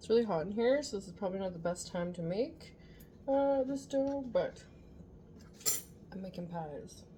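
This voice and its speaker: A soft-spoken woman at medium pitch, somewhat breathy, dark and mellow in tone, with very wide pitch swings, a moderate pace and long, frequent pauses. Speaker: home cooking vlogger. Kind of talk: tutorial. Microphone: no external mic, viewers found it too quiet.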